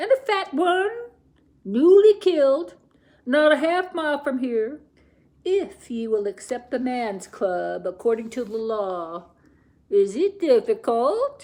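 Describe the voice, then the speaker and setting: A female-sounding, put-on character voice, high-pitched, with very wide pitch swings and a fairly slow pace. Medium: read story. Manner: smooth, persuasive.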